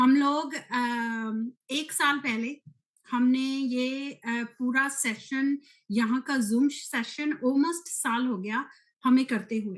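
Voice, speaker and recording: Her voice is high-pitched, and this woman keeps a fairly even intonation. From UK, of Punjabi Indian family. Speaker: team leader of network marketing community. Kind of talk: presentation to online community. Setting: video call. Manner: hesitant, many fillers.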